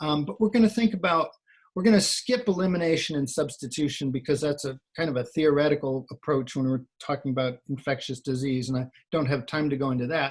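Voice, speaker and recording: Somewhat breathy and fairly high in pitch, a man talks at a fairly quick pace with lively intonation. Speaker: occupational hygienist presenter. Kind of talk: webinar presentation. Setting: online webinar.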